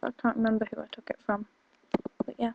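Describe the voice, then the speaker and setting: A woman with a northeast English accent speaks in a fairly high, dark and mellow voice with monotone, flat intonation, the sound dry and close with no echo. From northeast England. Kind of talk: casual, everyday.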